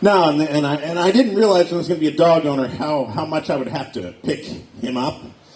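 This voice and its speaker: Audible room echo and noticeable background noise surround a man with an American accent. His fairly high voice has lively intonation at a moderate pace. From Pennsylvania, Erie. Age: 40s. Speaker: stand-up comedian. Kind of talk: stand-up. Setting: stage with audience.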